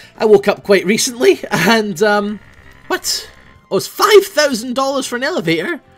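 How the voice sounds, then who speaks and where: With music in the background, a man speaks at a moderate pace. His pitch swings very widely. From Scotland. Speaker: gaming YouTuber. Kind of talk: casual gameplay commentary.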